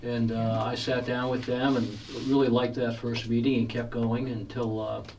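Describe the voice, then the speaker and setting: Noticeable background noise and audible room echo surround a man at a medium pitch. He speaks at a moderate pace with monotone, flat intonation. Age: 60s. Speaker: horror author. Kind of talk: radio interview.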